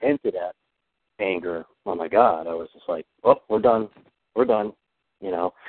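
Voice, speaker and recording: The man's voice is pitched fairly low. He keeps up a fairly quick pace. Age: 40s. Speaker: therapy client. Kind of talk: therapy session.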